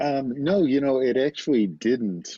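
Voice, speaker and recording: A man speaks with an American accent. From US Midwest, Detroit area, Michigan. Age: 60s. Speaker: novelist. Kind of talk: interview. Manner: hesitant, many fillers.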